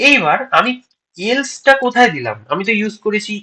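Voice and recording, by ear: A man speaks at a moderate pace in a high pitch, his bright, sharp tone marked by big pitch swings.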